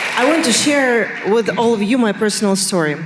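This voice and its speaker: Audible room echo and noticeable background noise surround a woman with a Russian accent speaking at a moderate pace and medium pitch with lively intonation. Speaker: interviewer. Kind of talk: on-stage interview. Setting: stage with audience.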